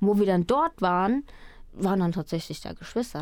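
Lively intonation marks an ordinary speaking voice, heard on a very clean recording against a silent background. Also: woman. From Germany, raised from age four after adoption from Colombia. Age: 20s. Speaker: trainee radio presenter and singer-songwriter. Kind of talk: radio interview.

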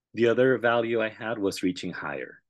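Over a quiet background, a man with a Spanish accent talks at a moderate pace in a fairly low pitch with ordinary pitch variation. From Puerto Rico. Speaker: school district research director, educator. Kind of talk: interview.

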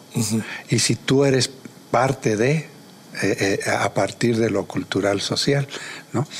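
Noticeable background noise sits under a man speaking very slowly, with long, frequent pauses. His medium pitch varies in an ordinary way, and his loudness stays very even. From Mexico, Querétaro (Huimilpan). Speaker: visual artist and museum curator. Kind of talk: interview conversation.

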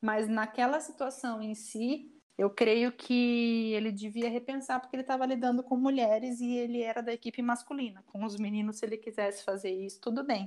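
A woman with a normal speaking voice talks at a moderate pace with hardly any pauses, her fairly high pitch held in fairly even intonation. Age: 30s. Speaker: volleyball coach, former athlete. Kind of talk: casual interview.

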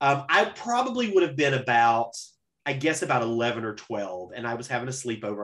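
A man at medium pitch and a fairly quick pace, a plain, everyday voice. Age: 30s. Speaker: podcast host. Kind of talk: casual chat.

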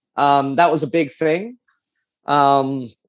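A man with an Australian accent speaks in a fairly high voice against a quiet background. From Australia (Adelaide). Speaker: race car driver. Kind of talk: interview. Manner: animated.

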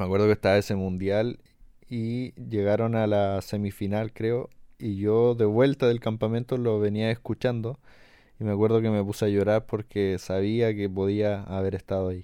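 In a Chilean accent, a dark, mellow voice speaks with monotone, flat intonation against a quiet background. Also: man, fairly low pitch for a man, moderate pace. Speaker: podcast host. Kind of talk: casual interview.

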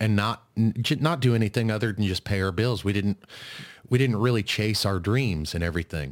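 A man with an American accent speaks in a normal speaking voice at a fairly quick pace, with a fairly low pitch and ordinary pitch variation. His loudness stays very even, and the recording is very clean with a silent background. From US Midwest (northeast Kansas). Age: 30s. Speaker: podcast host. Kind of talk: casual interview chat.

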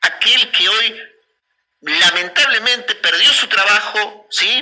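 At a very slow pace, a man talks in a high pitch. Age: 50s. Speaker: local radio host. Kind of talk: radio interview.

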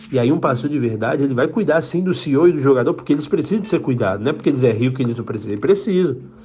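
Amid audible room echo, a man with a fairly high-pitched voice speaks at a very fast pace with lively intonation and hardly any pauses. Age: 20s. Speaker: pastor. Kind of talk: sermon. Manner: halting.

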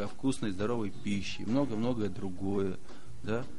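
A man talks at a moderate pace, and there is audible room echo. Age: 40s. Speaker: regional politician. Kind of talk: casual chat.

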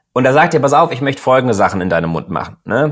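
This man talks at a very fast pace, with medium pitch and lively intonation. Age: 30s. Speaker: startup founder. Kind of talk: interview. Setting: online recording.

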